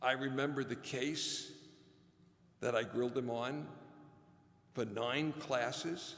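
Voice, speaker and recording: A man with an American accent speaks at a very slow pace in a medium pitch, with ordinary pitch variation and vocal fry. His tone is bright and sharp, and the room echo is audible. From New York City (Brooklyn). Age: 80s+. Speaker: commencement speaker, former law professor. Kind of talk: commencement address.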